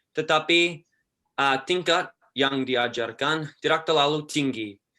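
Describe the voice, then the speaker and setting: Against a quiet background, a man talks very slowly at a fairly high pitch, with a bright, sharp tone and ordinary pitch variation. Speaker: university student. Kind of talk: question and answer.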